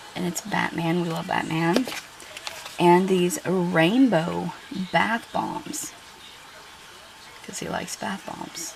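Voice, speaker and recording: A woman's fairly low voice at a very slow pace, with noticeable background noise. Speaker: YouTuber doing shopping hauls. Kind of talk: casual haul review. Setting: home kitchen. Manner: chatty, hesitant with fillers.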